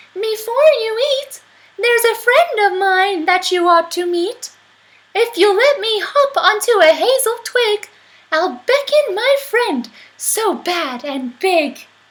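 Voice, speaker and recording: A woman puts on a squeaky character voice with an extremely high pitch, speaking at a fairly slow pace. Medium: read story.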